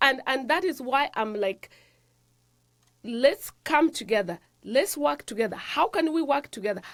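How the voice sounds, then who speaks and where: With an African accent, a woman speaks at a high pitch and a fairly slow pace, her pitch swinging very widely between long, frequent pauses. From Africa, rural village. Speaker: nurse practitioner and health show host. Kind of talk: motivational talk. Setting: studio.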